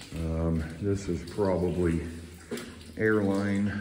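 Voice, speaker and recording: This man has a very deep, low pitch. His intonation stays fairly even over light background noise. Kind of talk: casual exploration commentary. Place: tunnel cave. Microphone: phone near.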